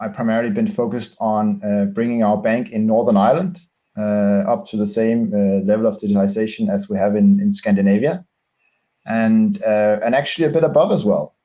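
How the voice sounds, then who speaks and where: Speaking in a Danish accent, a man with a medium pitch and a dark, mellow tone moves at a fairly quick pace. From Denmark. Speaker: bank digital executive. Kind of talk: interview. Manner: halting, many fillers.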